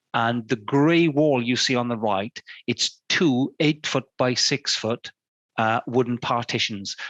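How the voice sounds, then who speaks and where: This man's delivery is very slow. His medium pitch varies in an ordinary way. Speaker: fine art photographer giving a talk. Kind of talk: illustrated talk. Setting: studio.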